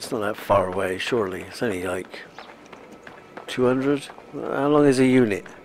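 A man's voice rises and falls in an ordinary way, with noticeable noise behind it. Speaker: gaming video creator. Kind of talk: casual gameplay commentary. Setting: home recording, playing on console.

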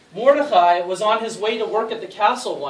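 Unforced reading voice, intonation lively.

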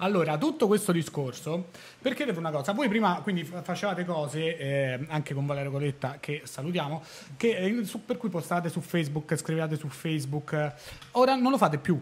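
This man's voice sits fairly high in pitch. He talks at a fairly quick pace. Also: lively intonation. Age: 30s. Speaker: podcast host; podcast host or guest. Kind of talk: casual chat. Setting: studio. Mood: relaxed, chatty. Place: studio. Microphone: studio mic.

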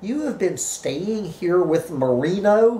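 Hissing through a put-on character voice, a woman speaks at a medium pitch with very wide pitch swings. Her pace is fairly slow. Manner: hissing, accusing.

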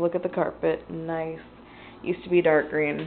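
A woman with a fairly low pitch speaks over light background noise. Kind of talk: casual vlog chat. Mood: relaxed, casually pleased. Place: home room. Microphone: phone near.

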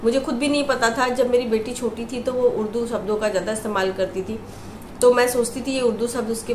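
Amid light background noise and audible room echo, a woman speaks at a moderate pace with fairly even intonation. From Lucknow, India. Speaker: housewife. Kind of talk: casual vlog talk to camera. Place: home room. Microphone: phone near.

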